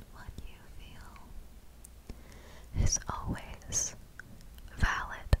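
Whispering, a woman speaks very slowly with long, frequent pauses. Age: young. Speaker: ASMR creator. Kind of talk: ASMR personal attention affirmations. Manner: whispered; slow, soft-spoken. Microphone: studio mic.

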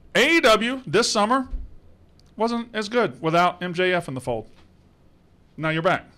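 A man speaks in a raised, projected voice at a very slow pace, his high pitch swinging very widely with a bright, sharp tone. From US South. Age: 40s. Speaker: podcast host. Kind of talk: casual chat. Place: studio. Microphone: studio mic.

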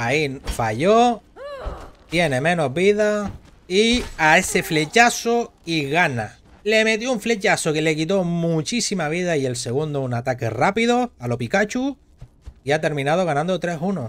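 A man with a high voice speaks at a fairly slow pace, swinging his pitch very widely. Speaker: gaming streamer and tournament caster. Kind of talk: live commentary. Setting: live stream. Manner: animated.

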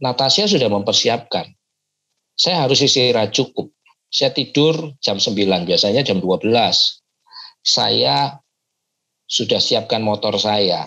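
Against a quiet background, a man speaks at a very slow pace with long, frequent pauses and very even loudness. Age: 40s. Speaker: pastor. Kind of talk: motivational talk to youth group. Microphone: earbuds.

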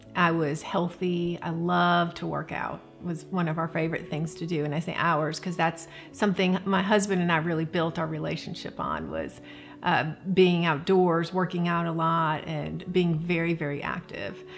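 Moderate pace and monotone, flat intonation over faint music in the background. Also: woman, fairly low pitch for a woman. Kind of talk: interview answer. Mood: warm, candid, reflective. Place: home room.

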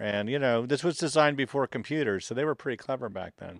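A man talks at a fairly quick pace with ordinary pitch variation and big swings in loudness. The sound is dry with no echo, over a quiet background. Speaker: museum guide in conductor uniform. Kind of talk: interview answer. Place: workshop. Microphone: handheld.

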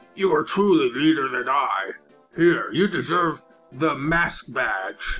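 A man uses a put-on character voice, strained and high-pitched for a man, at a fairly slow pace. Faint music plays in the background.

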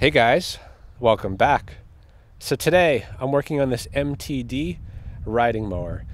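A fairly slow pace in a dry sound with no echo. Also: man. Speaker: small engine repair channel host. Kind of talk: casual vlog chat. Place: street. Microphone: phone near.

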